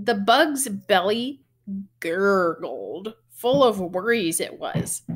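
A woman talks at a slow pace. Her tone is fairly bright.

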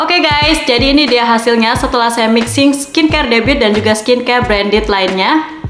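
Against clear music in the background and audible room echo, a woman talks at a fairly quick pace, high in pitch with ordinary pitch variation. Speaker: beauty vlogger. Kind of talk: casual product review vlog. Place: home room.

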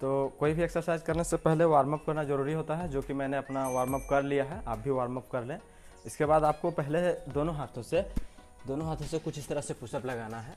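A man speaks at a moderate pace with fairly even intonation, faint music playing in the background. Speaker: fitness vlogger. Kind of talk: tutorial. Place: street. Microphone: lapel.

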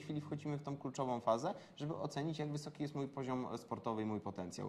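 Over light background noise, a man with an unremarkable speaking voice talks at a medium pitch with ordinary pitch variation. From Poland. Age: 20s. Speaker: rally driver. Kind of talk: interview. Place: meeting room. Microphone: lapel.

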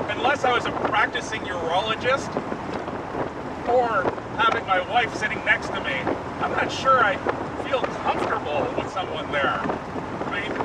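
Loud background noise surrounds a man talking at a moderate pace, with long, frequent pauses in a dry sound that has no echo. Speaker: car reviewer. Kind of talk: road test commentary. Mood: relaxed, humorous. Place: car.

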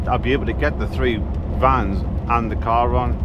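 Loud background noise fills the clip, while the voice itself is a dry sound with no echo. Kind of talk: casual vlog chat. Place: car. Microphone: phone near.

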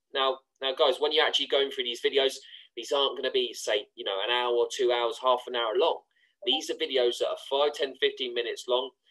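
Fairly quick speech from a man with a British accent. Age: 20s. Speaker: online trading course promoter. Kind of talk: screen-share tutorial.

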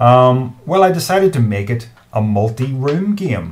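This man's voice is somewhat breathy, with lively intonation and a fairly slow pace. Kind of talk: tutorial. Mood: enthusiastic, amused. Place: home room. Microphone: webcam.

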